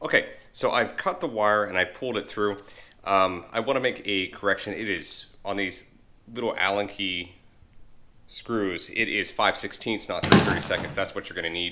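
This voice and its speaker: Using a normal speaking voice, a man with fairly low pitch speaks at a moderate pace with ordinary pitch variation. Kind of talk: tutorial. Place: garage. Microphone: phone near.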